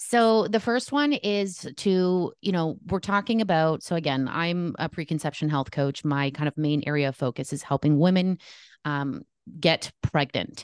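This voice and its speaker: A woman with a Canadian accent speaks in a normal speaking voice, fairly low in pitch, with lively intonation at a moderate pace. The sound is dry and close with no echo, over a quiet background. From Canada. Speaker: holistic nutritionist and preconception coach. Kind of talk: interview.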